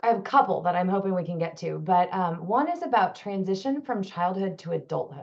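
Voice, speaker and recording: A woman with a normal speaking voice, medium pitch, lively intonation and a fairly quick pace. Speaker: panel moderator and clinician. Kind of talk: panel moderation.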